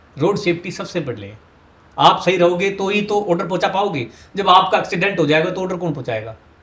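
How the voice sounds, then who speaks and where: A man talks in a high pitch whose variation is ordinary. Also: moderate pace. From Rewari, Haryana, India. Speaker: traffic police officer. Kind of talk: interview answer.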